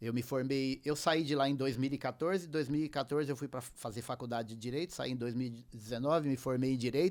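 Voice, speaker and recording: On a very clean recording with a silent background, a man speaks in a normal speaking voice at a medium pitch, a fairly quick pace and ordinary pitch variation, with hardly any pauses. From southern Brazil, raised in Paraná. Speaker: musician and music producer. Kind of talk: casual interview chat.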